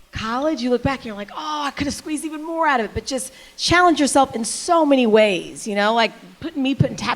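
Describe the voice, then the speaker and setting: Over noticeable background noise, a woman talks at a very fast pace with high pitch and lively intonation. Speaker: TV news anchor. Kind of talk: panel discussion. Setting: stage with audience.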